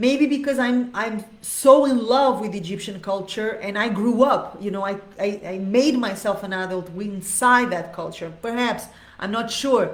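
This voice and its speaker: Over noticeable background noise and audible room echo, a woman with a fairly high pitch talks in an animated tone at a fairly slow pace with hardly any pauses. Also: ordinary pitch variation, big swings in loudness. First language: not Arabic, not English. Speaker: dance teacher. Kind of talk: live Q&A monologue. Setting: live video stream.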